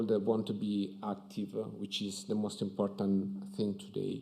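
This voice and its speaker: Speaking in an Italian accent, a man with a fairly low pitch goes at a fairly slow pace against a quiet background. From Italy. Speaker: architect. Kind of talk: conference talk. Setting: stage with audience at museum. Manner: hesitant, many fillers. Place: hall. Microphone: podium.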